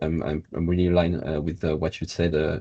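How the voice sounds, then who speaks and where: Over a quiet background, a man with a very deep, low voice talks at a very fast pace, somewhat breathy, his intonation fairly even. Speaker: circular economy policy consultant. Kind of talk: webinar presentation. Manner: hesitant with many fillers.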